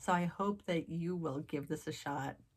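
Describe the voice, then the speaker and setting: A woman's very deep, low voice with vocal fry. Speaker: craft youtuber. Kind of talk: casual vlog chat to viewers. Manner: fast.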